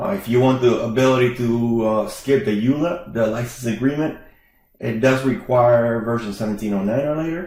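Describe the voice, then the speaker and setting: A man at medium pitch and moderate pace, ordinary pitch variation, with audible room echo. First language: not English. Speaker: IT consultant. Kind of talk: tech tutorial with live demo. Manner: casual, with frequent fillers.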